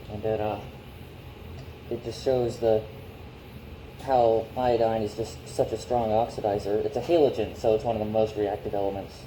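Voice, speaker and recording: Amid audible room echo, a man with a dark, mellow tone speaks at a medium pitch in fairly even intonation, somewhat breathy and with long, frequent pauses. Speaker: amateur chemistry youtuber. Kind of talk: experiment demonstration. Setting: garage. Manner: halting, many fillers.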